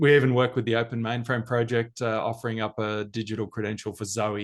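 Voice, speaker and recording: A man's medium-pitched voice with an Australian accent, fairly even intonation and a quiet background. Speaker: business executive. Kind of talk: interview.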